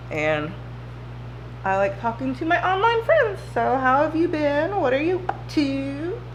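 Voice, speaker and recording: Noticeable background noise and audible echo from the room surround a woman's speech. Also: fairly slow pace. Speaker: beauty vlogger. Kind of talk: casual chat. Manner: slow.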